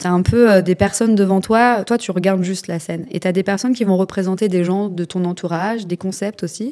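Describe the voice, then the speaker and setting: The voice has a dark, mellow tone with ordinary pitch variation. Its pace is fairly quick. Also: woman. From rural France. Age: 30s. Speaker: influencer sharing life story. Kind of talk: testimony. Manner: halting.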